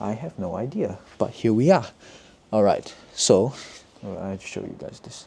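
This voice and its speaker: Speaking at a moderate pace, a man has a dark, mellow tone and a medium pitch. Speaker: vlogger and embroidery business owner. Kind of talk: casual chat while crafting, tutorial-like. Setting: apartment at night, housemate nearby. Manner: speaking quietly; halting, self-correcting.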